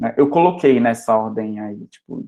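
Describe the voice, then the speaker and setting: Moderate pace and ordinary pitch variation with an Amazonas accent. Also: man. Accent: Amazonas accent, noticeable. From Amazonas, northern Brazil. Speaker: university lecturer in software engineering. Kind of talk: lecture.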